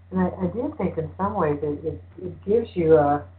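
A woman's very deep, low-pitched voice at a moderate pace. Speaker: radio host. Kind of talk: casual chat.

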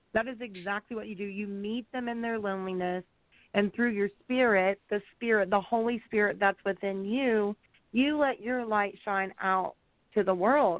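A woman speaks at a moderate pace in a normal speaking voice, her pitch medium. Her intonation stays fairly even. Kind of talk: prayer and interview. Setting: online radio broadcast.

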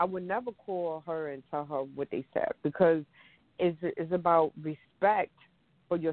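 A woman has an unremarkable speaking voice, pitched fairly low with ordinary pitch variation. She talks at a fairly slow pace. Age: 40s. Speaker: domestic violence advocate and coach. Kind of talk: casual chat.

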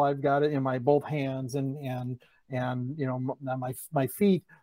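Against a quiet background, a man's dark, mellow voice comes through dry and close, with no echo. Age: 40s. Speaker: accountant and comedian. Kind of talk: casual interview.

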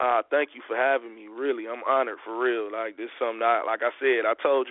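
A man with an American accent speaks at a medium pitch in an ordinary speaking voice. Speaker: hip hop artist guest. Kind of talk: casual interview chat.

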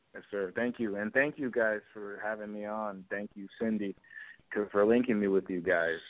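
A man with an American accent has a plain, everyday voice, pitched fairly low. He keeps a moderate pace and fairly even intonation, but his loudness swings widely. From North Hollywood, California. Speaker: rapper guest. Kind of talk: casual interview. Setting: phone call.

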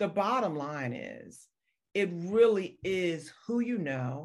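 Captured on a very clean recording with a silent background, a woman with a fairly low pitch makes very wide pitch swings. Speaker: radio host and media coach. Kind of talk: interview conversation. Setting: radio show.

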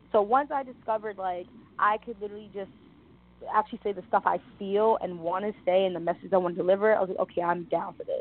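A very fast delivery in a New York accent with ordinary pitch variation. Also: woman. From New York City, the Bronx. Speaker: model, actress and rapper. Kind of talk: interview.

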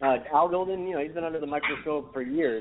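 The background carries noticeable noise. Over it, a man talks with intonation that stays fairly even. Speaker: sports commentator. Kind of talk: casual sports talk.

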